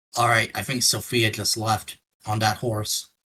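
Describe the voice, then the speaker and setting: A man puts on a raspy character voice at medium pitch. He keeps a moderate pace and a monotone, flat intonation. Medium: actual play.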